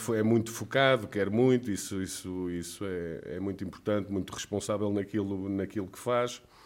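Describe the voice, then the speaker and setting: A man with a plain, everyday voice and fairly low pitch talks at a moderate pace with hardly any pauses, fairly even intonation and big swings in loudness, on a very clean recording with a silent background. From Trás-os-Montes, Portugal. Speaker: former footballer and club director. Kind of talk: casual interview.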